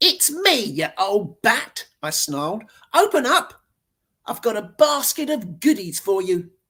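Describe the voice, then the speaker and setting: A put-on character voice, female-sounding and growling, sits at medium pitch. It moves at a fairly slow pace with very wide pitch swings. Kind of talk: rough, aggressive. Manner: snarling.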